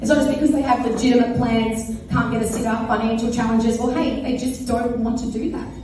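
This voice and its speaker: With an Australian accent, a woman speaks at a very fast pace and a fairly high pitch. Her intonation is monotone and flat, with noticeable background noise and audible room echo. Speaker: fundraiser organiser and speaker. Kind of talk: speech to live audience. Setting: event with audience. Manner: loud.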